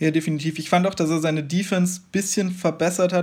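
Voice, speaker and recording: A man talks in a normal speaking voice at a fairly quick pace. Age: 20s. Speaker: basketball fan podcast guest. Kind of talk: casual chat.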